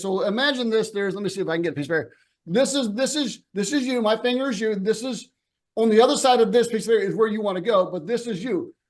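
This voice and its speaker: This man talks very fast in an animated tone. His pitch is high, with ordinary variation. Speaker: business coach. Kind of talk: webinar presentation.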